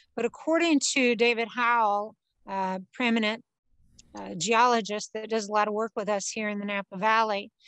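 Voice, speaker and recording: A woman at a moderate pace with ordinary pitch variation, dry sound with no echo, and a quiet background. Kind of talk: interview answer. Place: garden.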